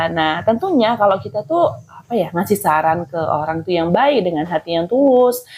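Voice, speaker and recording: A woman talks at a moderate pace. Her pitch climbs and falls very widely. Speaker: housewife vlogger. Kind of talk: casual vlog chat while cleaning. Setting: at home. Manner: casual, chatty.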